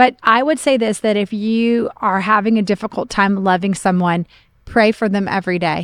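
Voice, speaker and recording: A woman with an unremarkable speaking voice and an American accent, medium pitch, ordinary pitch variation and a moderate pace, in a dry, close sound with no echo against a quiet background. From Oklahoma, US Midwest. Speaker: pastor. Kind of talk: casual chat.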